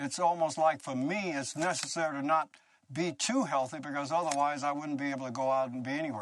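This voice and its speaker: A man of fairly high pitch speaks at a moderate pace in a plain, everyday voice. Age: 60s. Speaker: breatharian, former recording studio owner. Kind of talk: documentary interview. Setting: at his remote home.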